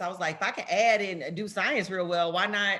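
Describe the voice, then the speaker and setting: With a strong Southern US accent, a woman talks at a fairly quick pace in a fairly low pitch, her tone bright and sharp, on a very clean recording with a silent background. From US South, Memphis, Tennessee. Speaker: politician. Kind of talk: talk to students. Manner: casual, conversational.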